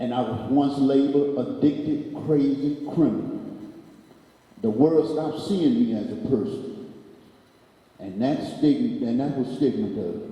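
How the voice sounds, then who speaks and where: A man with a fairly high pitch speaks at a fairly slow pace, using very wide pitch swings and long, frequent pauses, with audible room echo and noticeable background noise. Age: 60s. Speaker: panel speaker in recovery. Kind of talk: prepared speech.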